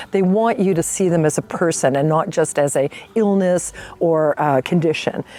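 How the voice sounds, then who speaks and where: An ordinary speaking voice moves at a moderate pace with ordinary pitch variation and very even loudness. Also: woman, fairly low pitch for a woman. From Canada, Toronto. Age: 60s. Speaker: guest testimonial. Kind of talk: testimonial.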